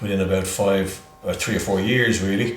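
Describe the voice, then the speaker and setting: Music plays in the background while a man talks at a moderate pace. His pitch is fairly low, and there is audible room echo. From Ireland, Dublin (born in England). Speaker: healthcare entrepreneur. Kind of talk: interview. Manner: halting, many fillers.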